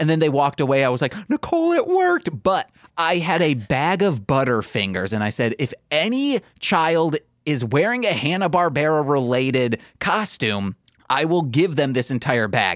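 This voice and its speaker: With an American accent, a man speaks at a moderate pace and fairly high pitch, making very wide pitch swings while keeping very even loudness, in a dry, close sound with no echo. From US Midwest, Michigan. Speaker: podcast host. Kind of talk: casual chat.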